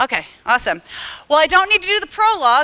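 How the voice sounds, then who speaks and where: A woman with an American accent uses a raised, projected voice, a bright, sharp tone, lively intonation and an animated delivery. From US Midwest (Illinois). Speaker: harm reduction advocate, presenter. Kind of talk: conference talk. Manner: fast.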